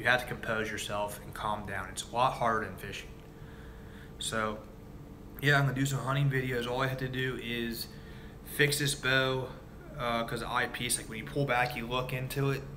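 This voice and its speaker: A man with an American accent at a medium pitch, moderate pace and fairly even intonation, with long, frequent pauses, audible room echo and noticeable background noise. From Ohio, Cincinnati. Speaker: fishing and hunting video creator. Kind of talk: live stream chat with viewers. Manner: casual, halting with many fillers.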